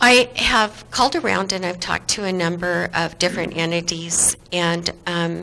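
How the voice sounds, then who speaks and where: Over noticeable background noise, a woman with a fairly low pitch speaks at a moderate pace with ordinary pitch variation. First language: not English. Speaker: city commissioner. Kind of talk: public meeting discussion. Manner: halting.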